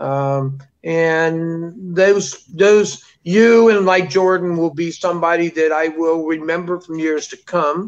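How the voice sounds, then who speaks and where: Very slowly and with fairly even intonation, a man speaks at a high pitch. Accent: American. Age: 60s. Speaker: animal keeper and TV documentary cast member. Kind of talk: interview. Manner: halting, many fillers.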